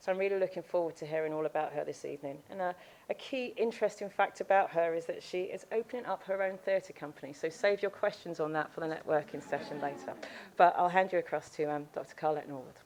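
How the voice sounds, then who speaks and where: Ordinary pitch variation runs through the speech. It moves at a very fast pace. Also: woman, fairly low pitch for a woman. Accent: British. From UK. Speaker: company lawyer introducing speaker. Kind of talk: event introduction. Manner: hesitant, many fillers.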